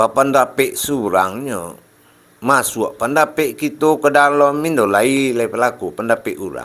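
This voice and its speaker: Speaking at a fairly slow pace with a West Sumatran accent, a man uses a fairly high pitch and ordinary pitch variation. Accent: Minangkabau, Panti-Tapus-Rao Pasaman dialect. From Pasaman, West Sumatra. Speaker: Islamic religious teacher. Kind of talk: religious sermon.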